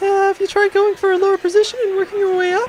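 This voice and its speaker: A put-on character voice, squeaky and extremely high-pitched, races along at a very fast pace. The intonation is flat and monotone, with clear background noise behind it. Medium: audio drama. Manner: dry, teasing.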